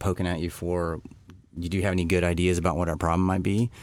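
Here a man speaks with an American accent. His pitch is very deep and low. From Texas. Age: 40s. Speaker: designer and entrepreneur. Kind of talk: casual chat.

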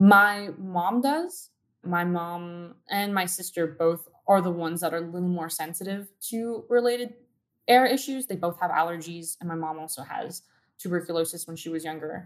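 With an American accent and a normal speaking voice, a woman talks at a moderate pace in a fairly low pitch, with ordinary pitch variation and big swings in loudness. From Southern California (Downey, LA County). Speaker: community activist. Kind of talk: interview.

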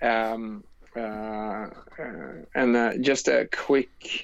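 Here a man speaks at medium pitch. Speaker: paintball player and gear company founder. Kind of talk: casual interview.

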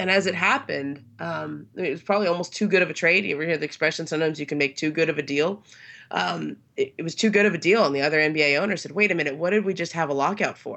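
A woman with an American accent speaks at a very fast pace. Her fairly low voice carries vocal fry. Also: ordinary pitch variation. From Los Angeles, California. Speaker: sports journalist. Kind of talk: casual interview. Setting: remote from Southern California.

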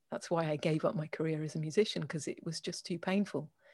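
A woman speaks somewhat breathily on a very clean recording with a silent background. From England. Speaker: organization owner, writer, jazz musician. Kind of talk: interview.

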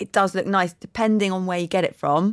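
A dry, close sound with no echo, an English accent, ordinary pitch variation, and a very clean recording over a silent background. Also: woman. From England. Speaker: fashion stylist and editor. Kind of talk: casual chat. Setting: studio.

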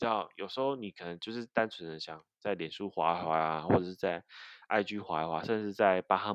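Over a quiet background, a man with a very deep, low pitch speaks at a fairly quick pace with ordinary pitch variation, the sound dry and close with no echo. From southern Taiwan, Kaohsiung. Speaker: podcast co-host. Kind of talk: casual chat about video games.

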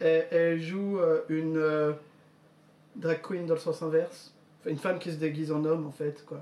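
Long pauses break up the speech often. Between them, the pace is moderate. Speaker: podcast co-host. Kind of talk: casual chat.

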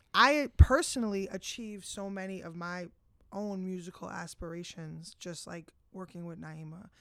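A woman speaks at a moderate pace in an ordinary speaking voice, her pitch medium with ordinary variation. Her loudness swings widely. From New Jersey (Bergen County). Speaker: music artist manager. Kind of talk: casual interview.

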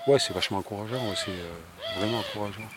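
Noticeable background noise sits behind a man who talks at a fairly quick pace with a fairly low pitch and ordinary variation. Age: 50s. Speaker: plant dye specialist and trainer. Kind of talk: interview. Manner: halting, with repetitions.

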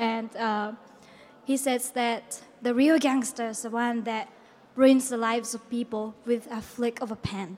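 Speaking with a Japanese accent, a woman uses a fairly high pitch, fairly even intonation and a moderate pace. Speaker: writer and film festival organizer. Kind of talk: presentation. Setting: stage with audience.

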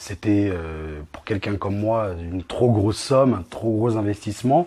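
With a dark, mellow tone, a man delivers his words at a moderate pace. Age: 20s. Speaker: property investor. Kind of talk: interview.

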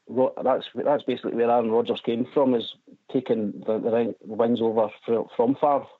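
With a Scottish accent, a man keeps fairly even intonation and very even loudness. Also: medium pitch for a man, moderate pace. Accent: Scottish lilt. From Scotland, West Lothian near Edinburgh. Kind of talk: casual chat. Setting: phone call.

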